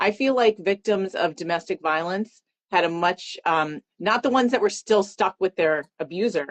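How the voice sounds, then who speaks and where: A woman speaks at a moderate pace with an American accent, in an unremarkable speaking voice. Her pitch is medium, with ordinary variation. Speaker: podcast host. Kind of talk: interview.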